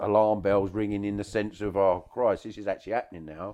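With a London accent, a man talks at a fairly quick pace in a fairly low, monotone voice with flat intonation. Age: 50s. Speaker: taxi driver. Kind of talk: casual chat. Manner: talkative.

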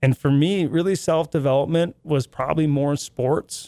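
Recorded dry and close with no echo against a silent background in a very clean recording, a man speaks at a moderate pace. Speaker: sales manager. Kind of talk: casual interview chat. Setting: studio. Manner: animated, enthusiastic.

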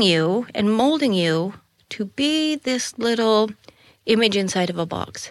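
A woman talks with an American accent. Her pitch swings very widely. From Colorado, US. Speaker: spiritual teacher. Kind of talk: casual chat.

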